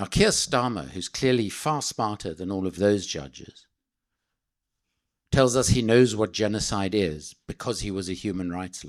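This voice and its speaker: Against a silent background on a very clean recording, a man with a South African accent speaks at a moderate pace and fairly low pitch, his intonation lively and his loudness swinging widely. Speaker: political speaker, anti-arms-trade campaigner. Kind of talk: speech to an audience. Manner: passionate, emphatic.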